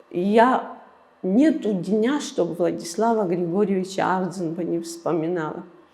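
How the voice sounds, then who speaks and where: A woman with a medium pitch speaks at a fairly slow pace with lively intonation. Noticeable background noise sits behind her. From Abkhazia, Gudauta district. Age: 60s. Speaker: museum director. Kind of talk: interview. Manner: halting.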